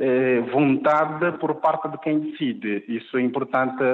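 Noticeable background noise fills the recording. A man's voice comes through at a moderate pace. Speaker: linguist. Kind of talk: interview. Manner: halting, many repetitions and fillers.

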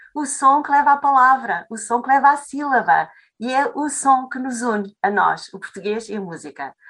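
At a moderate pace, a high-pitched woman speaks with lively intonation and big swings in loudness. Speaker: Portuguese language teacher. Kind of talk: interview conversation. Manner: halting.

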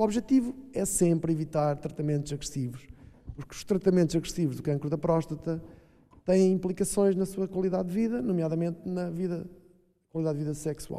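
High pitch paired with a dark, mellow tone in a man's voice. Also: ordinary pitch variation, fairly quick pace. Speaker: doctor (prostate cancer specialist). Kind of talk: public panel discussion. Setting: stage with audience.

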